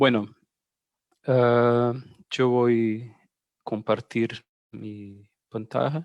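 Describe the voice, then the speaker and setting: With a Brazilian accent, a man speaks very slowly in a monotone, flat intonation, leaving long, frequent pauses, in a dry, close sound with no echo. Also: medium pitch for a man. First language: Portuguese (speaking Spanish). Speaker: researcher. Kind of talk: lecture.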